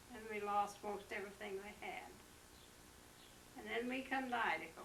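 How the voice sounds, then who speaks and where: Speaking at a moderate pace with an American accent, a woman uses a fairly high pitch and ordinary pitch variation, her loudness swinging widely, over audible room echo and noticeable background noise. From West Virginia. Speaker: grandmother telling life history. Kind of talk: oral history interview. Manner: halting.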